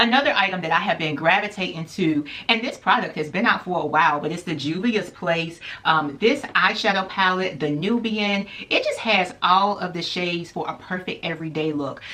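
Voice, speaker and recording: A woman's fairly low voice at a moderate pace with ordinary pitch variation, amid noticeable background noise. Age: 30s. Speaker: beauty YouTuber. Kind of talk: product review vlog. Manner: casual, chatty.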